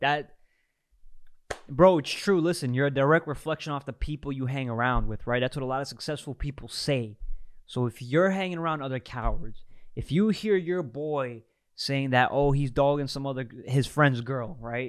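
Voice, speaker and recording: A man with a New York accent and fairly high pitch, at a moderate pace with ordinary pitch variation, on a very clean recording with a silent background. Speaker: streamer reacting to clips. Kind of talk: reaction commentary. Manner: animated, emphatic.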